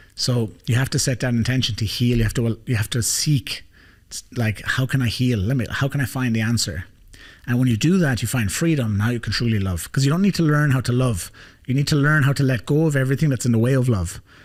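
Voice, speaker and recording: In a very clean recording with a silent background, a man with an Irish accent talks very fast in an animated, somewhat breathy voice, medium in pitch with ordinary pitch variation. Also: very even loudness. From Ireland. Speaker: life coach, podcast host. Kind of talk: podcast conversation.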